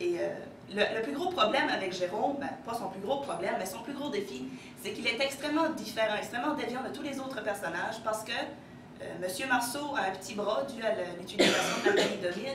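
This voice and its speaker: Speaking at a fairly quick pace with lively intonation, a woman with a fairly high pitch and a slight Acadian accent is heard over noticeable background noise and audible room echo. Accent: slight northern New Brunswick Acadian French. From northern New Brunswick, Acadia. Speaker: education student presenting a book. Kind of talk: lecture. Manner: fast.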